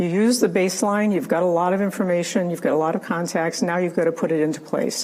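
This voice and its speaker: A woman at a medium pitch, with noticeable background noise. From Rhode Island, US. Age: 70s. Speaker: retired health care executive, keynote speaker. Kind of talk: keynote speech. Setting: virtual event broadcast.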